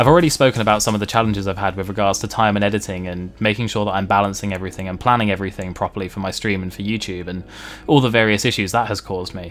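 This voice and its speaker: With a Home Counties accent, a man speaks at a very fast pace and a fairly low pitch against noticeable background noise. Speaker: gaming streamer and video creator. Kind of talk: casual vlog monologue. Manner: animated, conversational.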